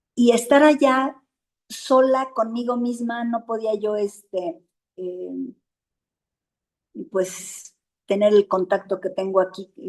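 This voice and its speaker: In a Mexican accent, a woman speaks at a very slow pace with a fairly high pitch and ordinary pitch variation, leaving long, frequent pauses. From Mexico. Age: 60s. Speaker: support group member. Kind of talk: interview. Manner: halting.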